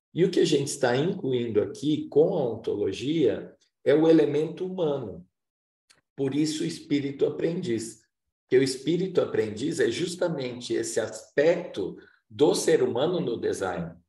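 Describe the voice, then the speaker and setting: A moderate pace with audible room echo. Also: man. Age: 60s. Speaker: workshop facilitator. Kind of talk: lecture.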